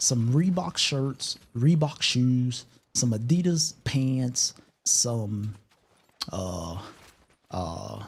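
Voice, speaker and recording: A somewhat breathy voice at a very slow pace with very wide pitch swings. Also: man. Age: 30s. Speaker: gaming streamer. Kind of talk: casual live stream chat.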